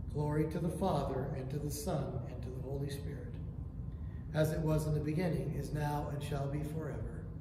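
A man with a fairly high pitch talks at a fairly quick pace but leaves long, frequent pauses, his intonation monotone and flat. Noticeable background noise and audible room echo are present. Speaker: prayer leader. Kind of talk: morning prayer service, liturgical reading. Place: church. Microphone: camera far.

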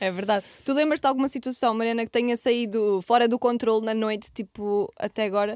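A woman with a plain, everyday voice speaks at a fairly high pitch. Her intonation is fairly even, and the background is quiet. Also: dry sound with no echo. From Portugal. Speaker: podcast host. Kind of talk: casual chat. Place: studio. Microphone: studio mic.

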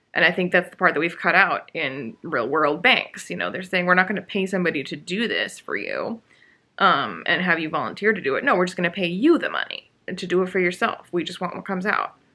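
A woman's fairly low voice at a fairly quick pace, bright and sharp in tone, with lively intonation

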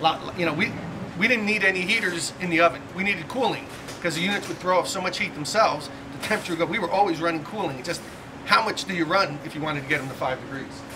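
A man's high voice at a very fast pace with ordinary pitch variation, over noticeable background noise. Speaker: quality manager tour guide. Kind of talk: factory tour explanation. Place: factory. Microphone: camera far.

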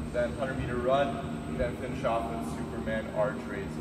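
Loud background noise surrounds a man's voice. The room echo is audible. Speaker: fitness coach. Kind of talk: workout explanation. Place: gym. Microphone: camera far.

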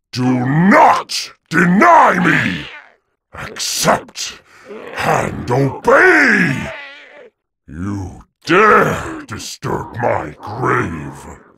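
A man performs a put-on character voice that sounds raspy. He delivers it at a very slow pace. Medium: dub. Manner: menacing, grandiose.

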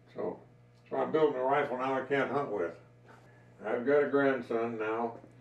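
Speaking at a moderate pace with an American accent, a man of medium pitch shows ordinary pitch variation amid audible room echo. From Colorado. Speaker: wood carver and gunsmith. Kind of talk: casual chat. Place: workshop. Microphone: camera far.

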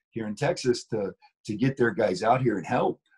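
A man talks at a fairly quick pace with lively intonation and a somewhat breathy voice. The background is quiet. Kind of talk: interview answer. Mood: wry, recounting frustration. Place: home room. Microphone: video call.

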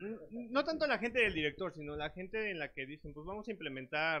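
A man speaks in a normal speaking voice at a moderate pace. His intonation is lively. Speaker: audience member; speaker. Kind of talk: Q&A question. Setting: stage with audience. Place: meeting room. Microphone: lapel.

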